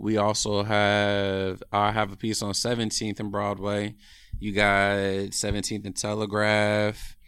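With an American accent, a man speaks at a very slow pace in a monotone, flat intonation and a fairly low pitch. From Oakland, California. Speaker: painter and artist. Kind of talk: casual interview chat.

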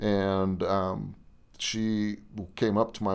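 The man's voice sits at a fairly low pitch. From North Dakota. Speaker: county sheriff. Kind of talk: interview.

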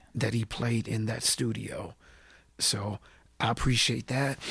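A man speaks with an American accent at a medium pitch. His voice is somewhat breathy, and his intonation is fairly even. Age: 40s. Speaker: hip-hop artist. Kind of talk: casual interview. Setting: studio.

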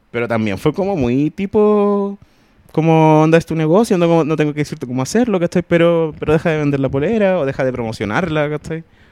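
A man's dark, mellow tone in a Chilean accent, with lively intonation at a fairly quick pace, in a dry, close sound with no echo. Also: fairly high pitch for a man. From Chile, Puente Alto (Santiago). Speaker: podcast co-host. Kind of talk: casual chat.

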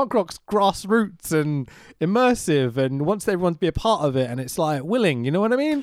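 A high-pitched man with a London accent, fairly quick pace and very wide pitch swings, in a very clean recording with a silent background. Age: 30s. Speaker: podcast host, video editor. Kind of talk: casual chat. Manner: animated.

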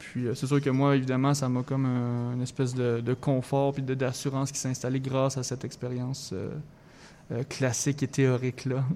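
The man's tone is dark and mellow, at medium pitch. He talks at a moderate pace in a monotone, flat intonation. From Quebec, Thetford Mines (Chaudière-Appalaches). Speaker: singer-songwriter. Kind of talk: radio interview.

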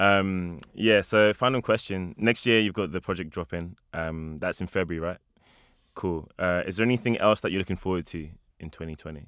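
This man's very deep, low voice varies in pitch in an ordinary way as he talks at a moderate pace. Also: very clean recording, silent background. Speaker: interviewer. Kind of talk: interview.

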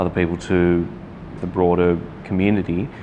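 Noticeable background noise sits behind a man speaking fairly quickly in a very deep, low voice with an Australian accent and monotone, flat intonation. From Sydney, Australia. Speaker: podcast host. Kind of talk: casual interview.

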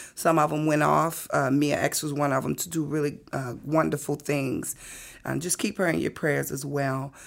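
A woman with a New Orleans accent speaks at a moderate pace in a very deep, low pitch. Vocal fry colors her fairly even intonation. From New Orleans, Seventh Ward. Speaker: musician and minister. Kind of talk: interview.

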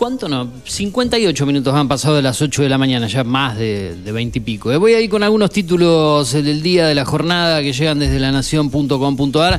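With music in the background, a man speaks with an Argentine accent and very wide pitch swings. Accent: Argentine Spanish (Rioplatense). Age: 40s. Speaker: radio host. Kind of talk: radio show hosting. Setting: studio.

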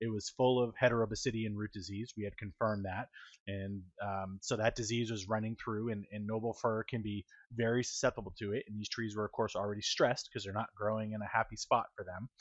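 A man's fairly low voice at a fairly quick pace, flat and monotone in intonation. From New Hampshire, US (Manchester). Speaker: state forestry program manager. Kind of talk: interview.

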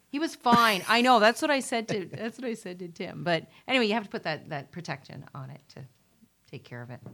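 Vocal fry runs through a woman's fairly high pitch as her voice moves in very wide pitch swings. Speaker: real estate sales representative with mortgage background. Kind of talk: casual radio chat. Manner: chatty, hesitant with fillers, laughs easily.

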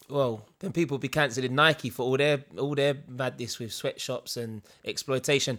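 On a very clean recording with a silent background, a man with a London accent speaks at a moderate pace and medium pitch, his tone bright and sharp and his intonation fairly even. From East London. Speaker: podcast co-host. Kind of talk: casual chat.

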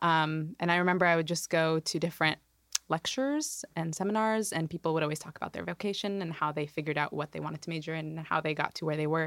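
A woman with a General American accent talks at a very fast pace and a fairly low pitch. Her intonation is fairly even, and the sound is dry and close with no echo. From US Pacific Northwest, Washington. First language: Arabic. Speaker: academic advisor. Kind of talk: casual chat.

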